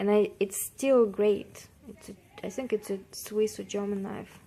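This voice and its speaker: The speaker has a non-native accent and a fairly slow pace. The intonation stays fairly even. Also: woman. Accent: non-native English, drops parts of words. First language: not English. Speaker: vlogger. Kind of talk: casual vlog talk. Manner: halting, many fillers.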